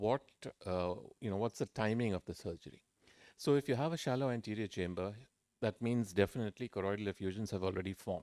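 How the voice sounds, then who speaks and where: In a dry, close recording with no echo, a man with a dark, mellow tone and fairly low pitch speaks at a very fast pace with ordinary pitch variation. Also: very clean recording, silent background. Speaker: ophthalmology professor and surgeon. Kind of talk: conference lecture.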